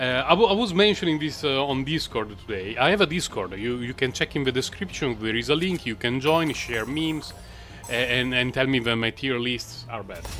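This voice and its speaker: A man with a non-native accent speaks at a fairly quick pace, his pitch medium and his intonation lively. Music plays in the background. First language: not English. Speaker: gaming content creator. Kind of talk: gameplay commentary. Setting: recorded voice-over after the fact. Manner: halting, many fillers; casual, relaxed.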